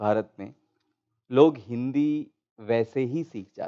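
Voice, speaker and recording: Recorded dry and close with no echo, a man speaks with a Gujarati accent. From India, Gujarat. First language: Gujarati (speaking Hindi). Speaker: panel speaker. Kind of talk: panel discussion. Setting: auditorium, online broadcast.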